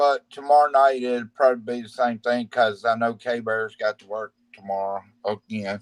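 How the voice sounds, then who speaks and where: With a normal speaking voice, a man at a medium pitch talks at a moderate pace with fairly even intonation and hardly any pauses, in a dry, close sound with no echo. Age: 40s. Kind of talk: casual chat.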